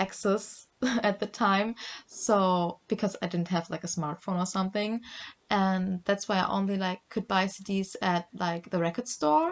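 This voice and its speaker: A woman with a German accent speaks at a fairly slow pace in a medium pitch, her intonation fairly even, on a very clean recording with a silent background. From Germany. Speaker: podcast co-host. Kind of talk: casual chat. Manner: hesitant, many fillers.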